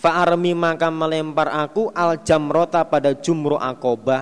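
A man speaks at a very slow pace. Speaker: Islamic religious teacher. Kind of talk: religious study lecture with hadith translation.

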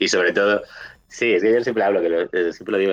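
Fairly low in pitch, a man's voice moves with fairly even intonation. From Galicia, Spain (A Coruña). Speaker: video game reviewer. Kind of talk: casual interview.

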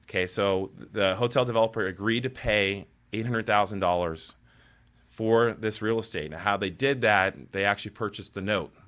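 A man talks in an unremarkable speaking voice, fairly low in pitch, at a moderate pace with ordinary pitch variation. The recording is very clean and the background silent. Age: 30s. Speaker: real estate developer. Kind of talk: interview.

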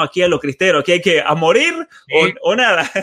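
His tone comes across bright and sharp. The voice belongs to a man. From Argentina, San Juan. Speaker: podcast host and author. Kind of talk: interview conversation. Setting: remote video call.

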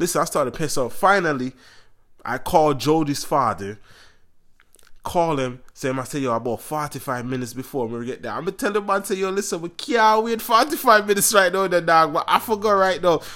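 The man's tone is animated and his pitch is high, with very wide swings. He speaks at a fairly quick pace. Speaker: podcast host. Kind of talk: casual chat.

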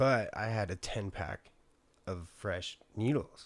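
This man's pitch sits fairly low, and he has an American accent. The recording is very clean and the background silent. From San Diego, California. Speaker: person in addiction recovery. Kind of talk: casual chat.

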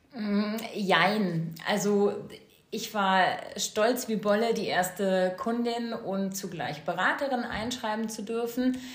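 A woman talks at a medium pitch. Her voice carries audible room echo over noticeable background noise. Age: 40s. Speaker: essential oils sales consultant, mother. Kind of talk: casual interview.

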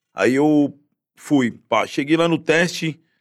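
On a very clean recording with a silent background, a man uses a normal speaking voice, fairly high pitch and fairly even intonation. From Guarujá, Baixada Santista, São Paulo state, Brazil. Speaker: actor in a TV series and musician. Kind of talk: casual chat.

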